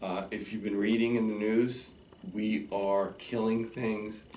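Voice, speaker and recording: A man's fairly low voice with audible room echo. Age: 60s. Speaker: teacher. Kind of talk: direct-to-camera message. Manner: earnest and emphatic.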